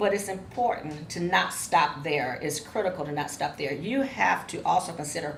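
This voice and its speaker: A woman with an American accent speaks at a fairly low pitch with lively intonation. Audible room echo surrounds her voice. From Ohio, Cleveland. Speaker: professor. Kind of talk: lecture. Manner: fast.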